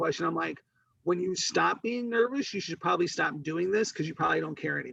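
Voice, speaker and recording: A high-pitched man in an American accent, bright and sharp in tone, with lively intonation and a very fast pace. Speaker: wrestling ring announcer. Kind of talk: podcast interview answer. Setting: phone line. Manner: talkative, relaxed.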